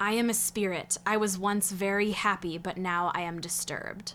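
Over clear background noise, a woman uses a raspy, put-on character voice at a medium pitch. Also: moderate pace. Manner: quiet.

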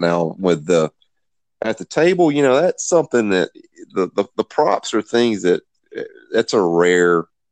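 A man speaks with a Southern US accent at a fairly slow pace. His intonation is lively, and the sound is dry and close with no echo. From US South, Greenville, South Carolina. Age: 50s. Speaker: game designer and writer. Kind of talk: casual chat.

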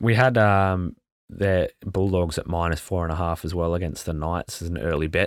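In a very clean recording with a silent background, a man speaks at a moderate pace in a very deep, low pitch. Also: ordinary pitch variation. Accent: Australian. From Australia. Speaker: sports betting podcast co-host. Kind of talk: casual chat. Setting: on lunch break at a conference.

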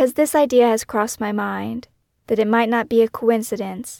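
The recording is very clean, with a silent background and a dry, close sound with no echo. A woman speaks at a moderate pace. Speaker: podcast host and true crime author. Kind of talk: first-person true-crime memoir narration, scripted and reflective. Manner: measured, somber, introspective narration; warm, direct, conversational in the intro and outro.

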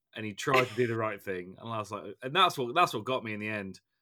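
A very fast male voice in an English accent, medium in pitch with a bright, sharp tone, on a very clean recording with a silent background. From England. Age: 30s. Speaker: podcast host. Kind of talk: casual chat.

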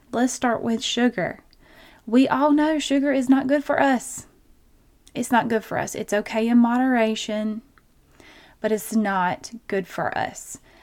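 A woman's high, warm, animated voice in a Southern US accent at a fairly slow pace, with ordinary pitch variation and long, frequent pauses. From Georgia, US South. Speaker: nurse practitioner and podcast host. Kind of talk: solo health podcast episode, conversational. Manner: warm, animated, chatty.

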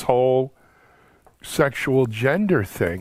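A man with an unremarkable speaking voice talks at medium pitch with lively intonation on a very clean recording with a silent background. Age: 60s. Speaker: video series host. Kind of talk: panel discussion.

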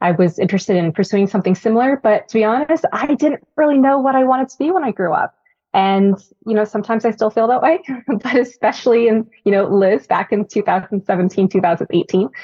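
Speaking with an American accent, a woman uses lively intonation at a fairly high pitch. It's a plain, everyday voice. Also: fairly quick pace. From Northern California. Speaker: Army veteran and corporate manager. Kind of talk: interview.

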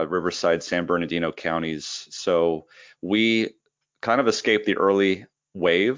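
Here a man talks at a fairly slow pace with a very deep, low pitch. His loudness is very even, and his pitch varies in an ordinary way. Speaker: critical care doctor and medical educator. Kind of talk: casual interview.

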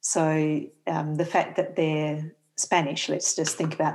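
Someone with an Australian accent is heard on a very clean recording against a silent background. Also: woman. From Western Australia (Perth). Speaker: theology professor. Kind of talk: interview.

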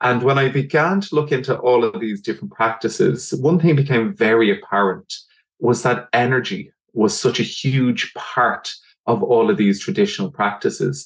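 Lively intonation marks this man's delivery. His pitch is medium and his pace moderate. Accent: Dublin. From Ireland, Dublin. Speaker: doctor and energy healer. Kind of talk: casual chat.

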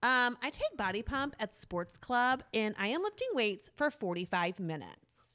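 Loud and energetic, a woman speaks at a moderate pace with hardly any pauses, her fairly high voice bright and sharp with lively intonation. The recording is very clean, with a silent background. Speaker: middle school math teacher. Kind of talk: casual interview chat.

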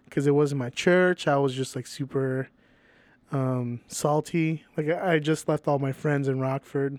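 A man speaks slowly-ish in a plain, everyday voice, his fairly high pitch held to a fairly even intonation. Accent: American. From Venezuela, then Chicago area US. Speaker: musician and Salvation Army member. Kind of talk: casual chat.

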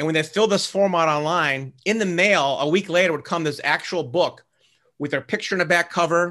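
With an American accent, a man speaks at a fairly quick pace in a bright, sharp tone against a quiet background. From US Midwest, Cleveland, Ohio. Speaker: author and real estate investor. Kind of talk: interview.

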